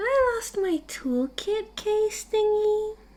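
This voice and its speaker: Light background noise sits under a squeaky, put-on character voice that moves at a very slow pace with lively intonation. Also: woman, extremely high pitch for a woman. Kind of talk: ASMR audio roleplay. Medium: solo performance. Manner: soft, intimate, clingy.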